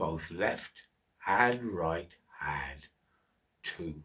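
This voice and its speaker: The voice is a man's put-on character voice. He talks very slowly. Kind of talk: bedtime story. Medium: read story. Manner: rhythmic, wry, repetitive cadence.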